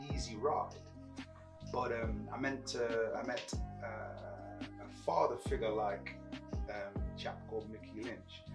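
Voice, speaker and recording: Speech moves at a very slow pace with long, frequent pauses while clear music plays in the background. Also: man. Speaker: guest. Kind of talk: interview answer. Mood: reflective, warm.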